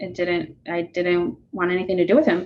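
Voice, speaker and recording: A woman in an American accent, medium in pitch, at a moderate pace. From Arizona, West Phoenix. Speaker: former homeless youth, outreach coordinator. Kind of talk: personal testimony in podcast interview. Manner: hesitant, many fillers.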